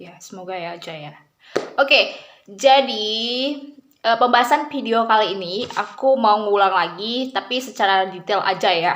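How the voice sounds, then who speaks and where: A woman is speaking. Her pace is moderate. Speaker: vlogger. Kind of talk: casual vlog explanation. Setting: home video, camera close. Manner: hesitant, many fillers.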